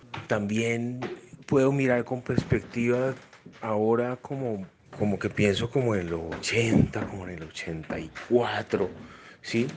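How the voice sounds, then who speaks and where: Speaking at a very slow pace, a man talks in a medium pitch. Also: ordinary pitch variation. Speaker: father, podcast interviewee. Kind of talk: reflective monologue answer.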